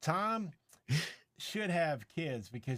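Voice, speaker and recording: A man's fairly slow speech with very wide pitch swings, on a very clean recording with a silent background. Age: 60s. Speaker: tech reviewer and live streamer. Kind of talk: casual chat. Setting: live stream.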